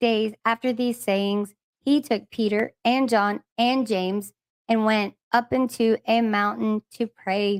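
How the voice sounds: Fairly even intonation from a natural reading voice, quiet background behind it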